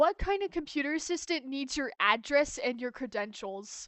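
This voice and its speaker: A woman speaks at a high pitch and a moderate pace. Her pitch swings very widely. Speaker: streamer drawing live. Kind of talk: casual livestream chat while drawing. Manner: loud when excited; uneven volume.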